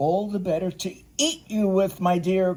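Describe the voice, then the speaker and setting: Using a put-on character voice, a woman growls at a medium pitch and a moderate pace. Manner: growling, menacing.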